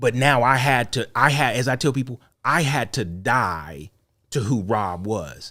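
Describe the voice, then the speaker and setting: On a very clean recording with a silent background, a man with an American accent speaks in a bright, sharp, animated tone. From North Carolina, Charlotte. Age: 40s. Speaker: podcast host and mental health professional. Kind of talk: testimony.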